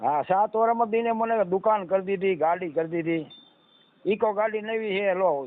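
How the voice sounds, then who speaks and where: This man's voice sits high in pitch, and his loudness stays very even. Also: ordinary pitch variation. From Gujarat, Saurashtra (Surendranagar district). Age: 50s. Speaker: mechanic and furniture craftsman seeking marriage. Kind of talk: phone call about marriage match.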